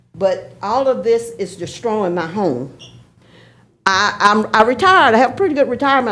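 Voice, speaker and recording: Amid audible room echo, a woman with a Georgia accent speaks at a moderate pace and a fairly high pitch, her voice making very wide pitch swings. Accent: Southern US (Georgia). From Athens, Georgia (US South). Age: 70s. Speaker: retired postal worker, public commenter. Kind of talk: public comment at council meeting. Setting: city hall meeting chamber. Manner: halting, with repetitions.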